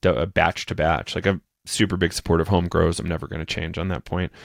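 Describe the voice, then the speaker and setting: A man's very deep, low voice with an American accent and ordinary pitch variation, dry and close with no echo, on a very clean recording with a silent background. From New Hampshire, US. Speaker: psychedelic podcaster and educator. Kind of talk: interview conversation.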